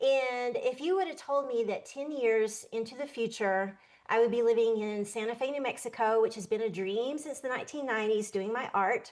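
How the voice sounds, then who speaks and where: A woman with a fairly high voice talks at a moderate pace, barely pausing. She has an ordinary speaking voice with ordinary pitch variation. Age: 60s. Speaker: artist and show co-host. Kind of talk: casual chat.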